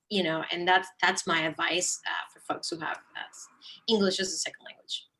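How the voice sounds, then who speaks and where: In a Spanish accent, a woman with a bright, sharp tone and medium pitch speaks in a monotone, flat way at a moderate pace. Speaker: nonprofit account manager, alumni panelist. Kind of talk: panel discussion.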